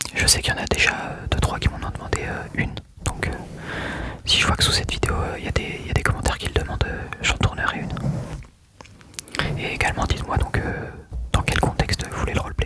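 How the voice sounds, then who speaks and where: A man is whispering with long, frequent pauses. Noticeable background noise is present. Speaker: ASMR creator. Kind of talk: ASMR talk to camera. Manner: whispered.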